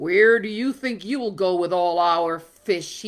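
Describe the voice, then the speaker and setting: A woman puts on a hissing character voice at a medium pitch, speaking fairly slowly. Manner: angry, hissing.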